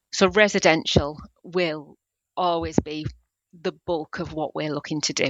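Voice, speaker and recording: With a North East England accent, a woman speaks at a fairly slow pace in a very deep, low pitch, using fairly even intonation and long, frequent pauses. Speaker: building society business development manager. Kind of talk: interview. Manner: hesitant, many fillers.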